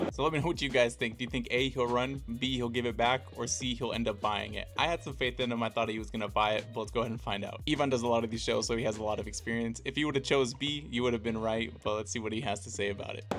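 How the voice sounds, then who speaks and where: Backed by music, the man races along at a very fast pace. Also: medium pitch for a man, ordinary pitch variation, hardly any pauses. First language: not Italian. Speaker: card collecting youtuber. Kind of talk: voiceover narration.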